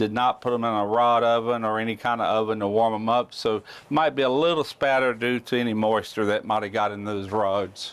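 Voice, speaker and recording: This is a man speaking in a plain, everyday voice at a medium pitch. His intonation stays fairly even. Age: 60s. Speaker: welding YouTuber. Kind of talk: tutorial. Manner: casual.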